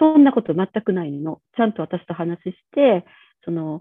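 A woman talks with lively intonation, keeping a medium pitch and a moderate pace. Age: 40s. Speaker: pediatrician. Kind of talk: casual chat. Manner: casual, hesitant with fillers.

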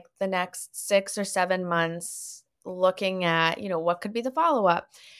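A woman talks at a moderate pace in an ordinary speaking voice and medium pitch. The recording is very clean, with a silent background. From Canada (Winnipeg, Toronto, Montreal). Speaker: author and therapist. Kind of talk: podcast interview.

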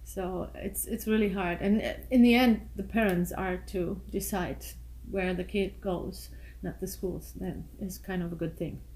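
Fairly slow speech from a woman with a German accent. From Germany. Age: 40s. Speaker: guest, mother of the host's girlfriend. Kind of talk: casual interview chat.

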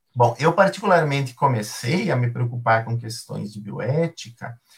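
The speaker is a man with a somewhat breathy voice. He uses lively intonation at a moderate pace. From southern Brazil, Rio Grande do Sul. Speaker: philosophy and ethics professor. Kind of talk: interview on a live stream. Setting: live stream.

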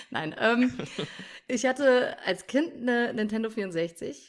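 A woman speaks with very wide pitch swings. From North Rhine-Westphalia, Germany (village). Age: 20s. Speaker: streamer and mother. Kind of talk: casual interview chat.

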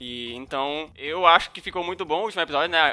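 This man's tone is bright and sharp. His intonation is lively. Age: 20s. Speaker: podcast co-host. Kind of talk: casual chat.

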